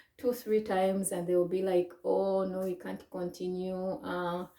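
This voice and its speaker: There is noticeable background noise. A woman talks at a fairly slow pace with a Ugandan accent. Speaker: vlogger. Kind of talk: personal story to camera. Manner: hesitant, many fillers.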